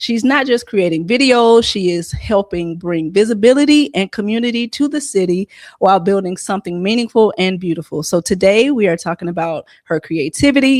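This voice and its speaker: A woman speaks with a Southern US accent and lively intonation. The sound is dry and close with no echo, a very clean recording with a silent background. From Columbus, Georgia, US South. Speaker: podcast host. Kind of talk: interview podcast.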